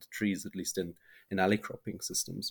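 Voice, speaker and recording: A man talks at a fairly quick pace with a very deep, low pitch. The recording is very clean, with a silent background. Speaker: agroforestry consultant. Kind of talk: interview. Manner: halting, many fillers.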